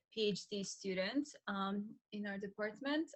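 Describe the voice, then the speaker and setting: A fairly slow pace in a Polish accent with ordinary pitch variation. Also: woman. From Poland. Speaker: graduate student instructor. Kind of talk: self-introduction on video call. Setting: video call.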